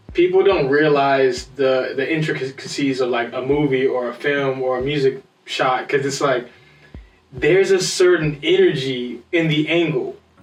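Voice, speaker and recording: Music plays in the background. A man with fairly high pitch speaks at a moderate pace with fairly even intonation. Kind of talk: casual chat.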